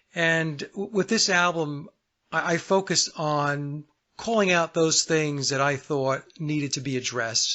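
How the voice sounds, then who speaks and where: Speaking at a fairly slow pace, a man uses a plain, everyday voice with a fairly high pitch. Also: ordinary pitch variation. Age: 60s. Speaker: singer-songwriter. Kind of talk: radio interview.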